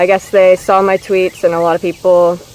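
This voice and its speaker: A woman at medium pitch and a moderate pace, against noticeable background noise. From US Midwest, Indiana. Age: 20s. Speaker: vlogger. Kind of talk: casual Q&A vlog.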